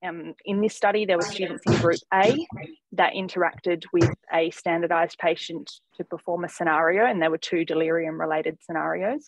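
In an Australian accent, a woman with a fairly low pitch and ordinary pitch variation talks at a moderate pace, the sound dry with no echo and the background quiet. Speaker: geriatric medicine fellow. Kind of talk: academic presentation; journal club presentation. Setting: video call. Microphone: video call.

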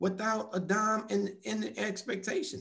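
The speaker is male. He talks at a very slow pace. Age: 50s. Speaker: military racquetball federation co-founder, veteran advocate; guest. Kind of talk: interview. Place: home room. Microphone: video call.

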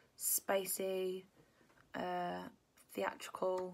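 Very slow speech in a southern English accent. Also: woman. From Kent, England. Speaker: musician; interviewee. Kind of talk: casual interview. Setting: home during lockdown. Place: home room. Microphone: phone near.

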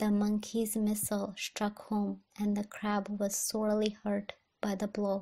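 A soft-spoken woman whispers at a fairly slow pace, sounding somewhat breathy. The recording is very clean, with a silent background. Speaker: ASMR reader. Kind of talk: ASMR bedtime story reading. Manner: soft-spoken, whispery.

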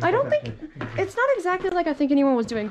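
A woman speaks at a fairly quick pace. Noticeable background noise sits behind her. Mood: wary, joking. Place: empty room. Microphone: phone near.

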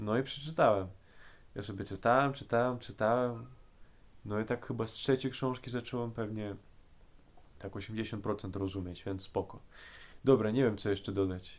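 Medium speed, ordinary pitch variation, and long pauses coming often. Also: man, fairly low pitch for a man. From Russia. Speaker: language learner. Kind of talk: casual talk to camera. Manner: hesitant, searching for words.

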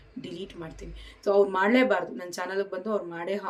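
Noticeable background noise behind the medium-pitched voice of a woman. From Karnataka. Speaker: vlogger. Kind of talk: talking-to-camera vlog. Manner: emotional, animated.

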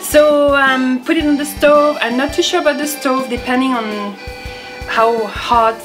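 French-accented speech at a moderate pace, with clear music in the background. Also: woman. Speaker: home cook. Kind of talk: cooking show talk to camera. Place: kitchen. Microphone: camera far.

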